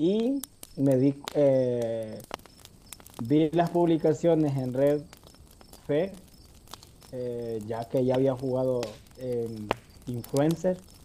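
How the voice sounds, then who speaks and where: A man's medium-pitched voice at a very slow pace, with ordinary pitch variation, long, frequent pauses and noticeable background noise. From El Salvador. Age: 20s. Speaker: game contest winner. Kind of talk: casual interview chat.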